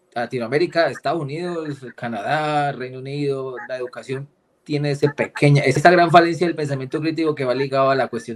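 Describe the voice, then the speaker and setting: Speaking with a strong Cali accent, a man keeps his intonation fairly even. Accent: strong Cali accent, deliberately kept. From Colombia, Cali. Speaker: political risk analyst and geopolitics lecturer. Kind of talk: casual interview chat.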